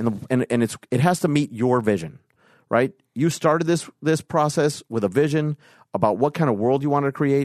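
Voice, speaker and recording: Against a quiet background, a man speaks at a fairly quick pace in a fairly high pitch with ordinary pitch variation and very even loudness, the sound dry and close with no echo. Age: 40s. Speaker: producer and financier. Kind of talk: casual chat. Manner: halting with frequent repetitions.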